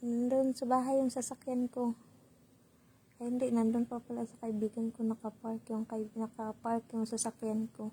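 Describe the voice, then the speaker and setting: Her voice carries a dark, mellow tone. This woman's pitch sits fairly high, and she keeps a moderate pace. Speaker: vlogger. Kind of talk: casual vlog. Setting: hotel room.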